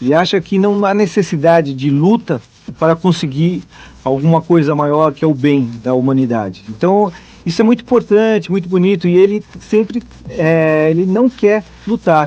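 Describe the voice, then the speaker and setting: A man with a high pitch and lively intonation, at a moderate pace and very even loudness, over noticeable background noise. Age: 30s. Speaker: voice actor. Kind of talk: interview.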